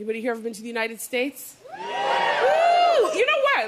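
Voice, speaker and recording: Crowd noise fills the background as a woman with a Canadian accent speaks at a fairly quick pace. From Canada, Toronto. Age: 30s. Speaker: comedian. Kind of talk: stand-up. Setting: stage with audience. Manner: animated.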